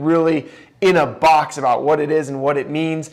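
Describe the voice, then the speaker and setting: Loud and at a moderate pace, a man speaks with a fairly high pitch. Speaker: podcast host. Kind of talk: podcast monologue.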